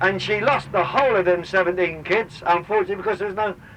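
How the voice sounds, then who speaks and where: A man with a Cockney accent against noticeable background noise. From London, East End. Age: 60s. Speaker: tour guide and former dock union activist. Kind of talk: guided tour commentary. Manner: animated.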